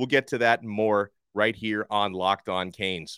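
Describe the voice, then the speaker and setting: On a very clean recording with a silent background, a man speaks in an animated tone. His pace is fairly slow. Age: 30s. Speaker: sports podcast host. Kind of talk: sports analysis podcast.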